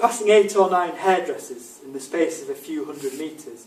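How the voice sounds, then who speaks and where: Lively intonation from a man with a high pitch, at a moderate pace, over noticeable background noise. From England. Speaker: author. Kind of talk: reading aloud.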